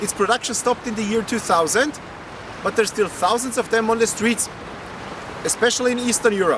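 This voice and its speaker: A man with a non-native accent speaks at an extremely high pitch with ordinary pitch variation. Noticeable background noise sits behind him. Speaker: car video presenter. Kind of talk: presentation to camera. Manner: formal.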